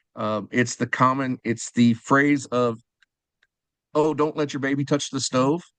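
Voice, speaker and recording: A man with a normal speaking voice talks at a fairly slow pace and medium pitch, his intonation fairly even, in a dry, close sound with no echo. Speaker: fundraising auctioneer and sponsorship specialist. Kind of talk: podcast interview answer.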